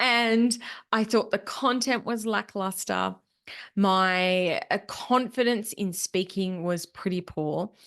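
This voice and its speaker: In a Queensland accent, a woman speaks at medium pitch with ordinary pitch variation. Her pace is very slow, against a quiet background. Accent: Australian, Queensland. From Australia, Queensland. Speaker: podcast host, business money mentor. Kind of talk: solo podcast reflection.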